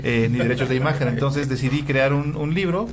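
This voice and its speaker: In a room with audible echo, a man speaks somewhat breathily at a medium pitch and a fairly quick pace with fairly even intonation. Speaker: hematologist. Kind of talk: interview. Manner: fast.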